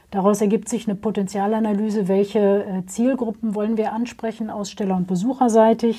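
Fairly high-pitched, somewhat breathy woman's voice with a dark, mellow tone and monotone, flat intonation. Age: 50s. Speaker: trade fair director. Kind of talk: interview.

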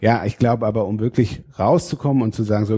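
A man's fairly low, dark and mellow voice, somewhat breathy, at a fairly quick pace, in a very clean recording with a silent background and a dry, close sound with no echo. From northern Germany, Schleswig-Holstein (Fehmarn). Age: 30s. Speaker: state parliament politician. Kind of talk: interview. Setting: state parliament building. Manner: frequent hesitations (äh).

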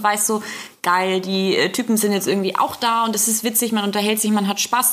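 A woman at a very fast pace over noticeable background noise. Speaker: podcast co-host and food blogger. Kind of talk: casual chat. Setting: studio.

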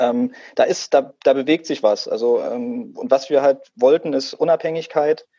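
A man speaks at a fairly slow pace with a dark, mellow tone and a fairly high pitch that swings very widely. The sound is dry and close, with no echo. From Thuringia, eastern Germany (Saalburg-Ebersdorf). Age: 30s. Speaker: tech startup co-founder. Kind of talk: podcast interview. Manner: hesitant, many fillers.

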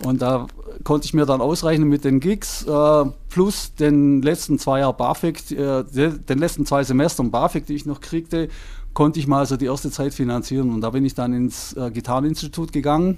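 An ordinary speaking voice from a man, fairly high in pitch, at a moderate pace. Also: fairly even intonation. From southern Germany, Lake Constance. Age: 60s. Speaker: music transcriber. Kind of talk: interview.

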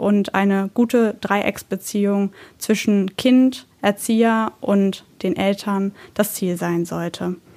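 Her voice sits at a medium pitch and rises and falls in an ordinary way. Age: 20s. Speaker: daycare educator. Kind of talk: informational podcast talk. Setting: office.

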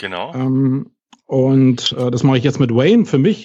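A man with a Berlin accent speaks at medium pitch in a dark, mellow tone. His pace is moderate. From West Berlin. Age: 40s. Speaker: SEO consultant. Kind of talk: podcast interview.

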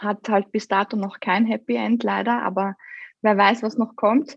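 At a fairly slow pace, a woman with an unremarkable speaking voice talks at a medium pitch, her intonation fairly even. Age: 30s. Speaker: guest sharing fertility experience. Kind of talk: casual chat.

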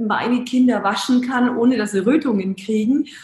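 A woman speaks in a high voice at a moderate pace, her intonation fairly even, with noticeable background noise present. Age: 40s. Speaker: startup founder. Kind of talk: interview. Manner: hesitant, many filler sounds.

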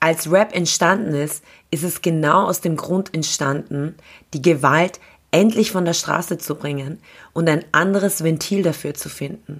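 A woman with an unremarkable speaking voice, a fairly slow pace and ordinary pitch variation. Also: fairly low pitch for a woman. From Austria (grew up there after arriving as a refugee). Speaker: radio host and event organizer. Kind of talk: scripted monologue.

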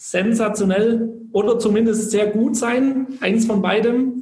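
A man's voice with noticeable background noise. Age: 20s. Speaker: network marketer, former direct sales. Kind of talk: interview.

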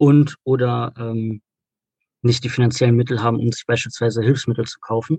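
Man at a medium pitch, somewhat breathy, with fairly even intonation and a moderate pace, in a dry, close sound with no echo. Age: 20s. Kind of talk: interview. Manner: hesitant, many filler sounds.

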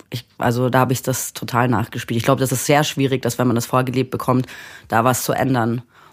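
Talking very fast, a woman keeps a flat, monotone delivery in a very deep, low register. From Munich, Germany. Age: 30s. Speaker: musician. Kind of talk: casual chat.

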